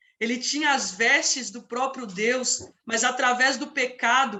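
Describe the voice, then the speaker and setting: With audible room echo, a woman speaks at a high pitch and a moderate pace, her pitch varying in an ordinary way. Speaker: preacher. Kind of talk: sermon.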